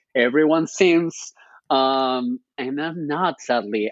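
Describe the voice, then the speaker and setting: A man's voice with a Spanish accent and ordinary pitch variation. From Spain. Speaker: journalist and social media creator. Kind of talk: interview conversation. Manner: hesitant, with fillers and repetitions.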